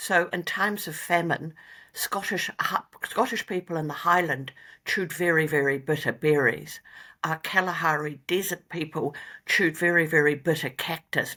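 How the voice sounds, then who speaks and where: Speaking in a New Zealand accent, a woman with a fairly low pitch and a bright, sharp tone keeps a moderate pace and fairly even intonation on a very clean recording with a silent background. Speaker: company founder and veterinarian. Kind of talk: interview.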